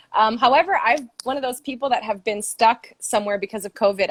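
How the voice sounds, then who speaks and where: In an American accent, a woman uses an ordinary speaking voice at a medium pitch with ordinary pitch variation and a moderate pace, the sound dry and close with no echo. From Brazil, grew up all over the world. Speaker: fundraiser and campaign supporter. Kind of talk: casual interview on a livestream. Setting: Instagram live video call.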